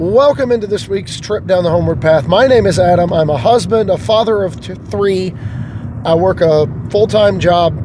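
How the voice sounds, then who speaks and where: This man has a high pitch and lively intonation. Noticeable background noise runs behind him. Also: moderate pace. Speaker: gaming podcast host. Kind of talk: casual solo podcast monologue.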